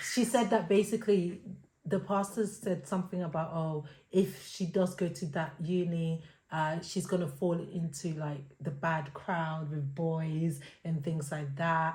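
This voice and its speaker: At a fairly slow pace, a woman speaks in a dark, mellow tone with a fairly low pitch, a somewhat breathy quality and ordinary pitch variation. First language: not English. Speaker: podcast co-host. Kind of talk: casual chat. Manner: hesitant, filler-heavy.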